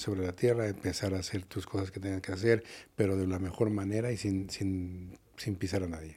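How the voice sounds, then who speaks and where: A man's fairly low, dark and mellow voice, somewhat breathy, at a fairly quick pace in a monotone, flat intonation, on a very clean recording with a silent background. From Mexico City. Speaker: nightclub owner. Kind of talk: interview. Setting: studio.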